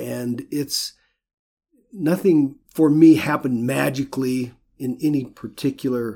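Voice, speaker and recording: With an American accent, a man speaks at a fairly slow pace in a medium pitch, his dark, mellow tone showing ordinary pitch variation. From US West, rural Idaho. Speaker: painter. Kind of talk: interview. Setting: office studio.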